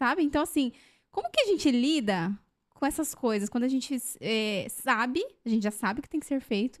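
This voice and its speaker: A woman's high-pitched voice, fairly quick and with lively intonation. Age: 30s. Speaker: podcast host. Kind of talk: casual interview.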